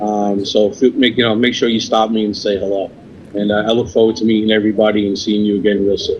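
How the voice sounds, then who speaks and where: Speaking very fast with a New York accent, a man keeps a fairly low pitch and monotone, flat intonation. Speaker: cigar company sales representative. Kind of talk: podcast interview.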